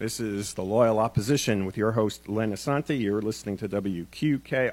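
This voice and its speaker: On a very clean recording with a silent background, a man speaks at a moderate pace with lively intonation. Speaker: radio talk show host. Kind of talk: live radio interview, casual chat. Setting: radio studio. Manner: casual, conversational, hesitant with fillers.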